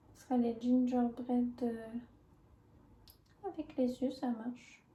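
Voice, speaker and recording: Soft-spoken, a woman talks at a very slow pace and a high pitch. Her intonation stays fairly even. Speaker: ASMR creator. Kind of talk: ASMR soft-spoken cooking video.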